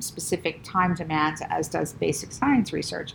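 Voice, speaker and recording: A woman talks at a moderate pace with vocal fry. Her pitch is fairly low. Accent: American. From US Northeast, Rockland County, New York. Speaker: vascular surgeon and professor. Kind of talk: interview.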